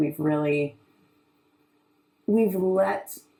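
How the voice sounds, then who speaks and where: Loud and very deep, a woman's low-pitched voice carries ordinary pitch variation. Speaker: artist. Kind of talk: panel discussion. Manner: projecting loudly; halting, many fillers.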